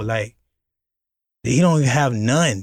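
Recorded very cleanly against a silent background, a man of medium pitch speaks with an American accent at a fairly slow pace. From Florida, Miami. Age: 30s. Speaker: music producer. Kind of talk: casual chat.

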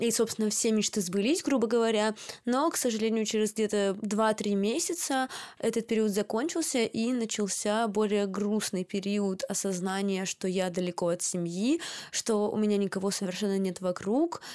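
An unremarkable speaking voice moves at a moderate pace with ordinary pitch variation and very even loudness, captured in a very clean recording with a silent background. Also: woman, fairly high pitch for a woman. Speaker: podcast host, student. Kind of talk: casual chat.

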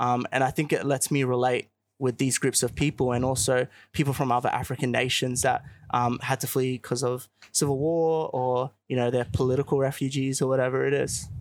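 A man with an Australian accent talks at a fairly quick pace in a medium pitch. His intonation is monotone and flat, and his loudness stays very even. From Australia (Queensland, Melbourne). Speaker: youth organization leader. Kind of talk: interview. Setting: outdoor live broadcast. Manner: hesitant with many fillers.

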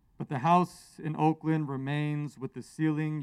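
With an American accent, a man speaks at a fairly slow pace with a fairly high pitch and monotone, flat intonation, in a dry, close sound with no echo and a very clean recording with a silent background. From US West Coast. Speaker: poet. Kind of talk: poetry reading. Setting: outdoors, stage with audience. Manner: loud.

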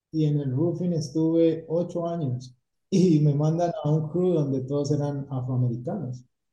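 A man's somewhat breathy voice carries a dark, mellow tone, sitting fairly high in pitch with fairly even intonation. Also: fairly slow pace. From Colombia, Cali. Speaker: painting company owner. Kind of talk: interview.

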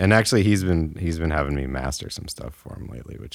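This man's voice is very deep and low, with vocal fry. He has an American accent and talks at a fairly quick pace. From Illinois, US Midwest. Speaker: recording engineer and musician. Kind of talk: casual interview. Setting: home studio.

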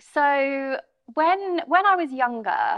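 Speaking at a very slow pace, a woman talks in a southern English accent. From Bromley, outside London, England. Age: 30s. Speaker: estate agency managing director. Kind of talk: interview. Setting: studio.

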